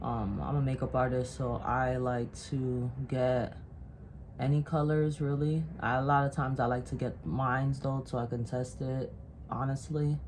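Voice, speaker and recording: With a very deep, low voice and fairly even intonation, a woman speaks at a moderate pace. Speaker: makeup artist. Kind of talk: tutorial.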